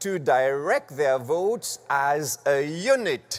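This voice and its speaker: In a French accent, a man speaks with very wide pitch swings. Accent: French-accented English (Franglish). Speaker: church conference presenter on parliamentary procedure. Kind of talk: formal instructional presentation. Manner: formal, deliberate.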